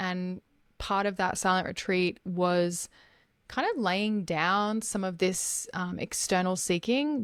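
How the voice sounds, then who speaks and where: A woman with an Australian accent speaks at a medium pitch with ordinary pitch variation. The recording is very clean, with a silent background. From Australia, Gold Coast. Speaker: life coach. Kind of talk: podcast interview.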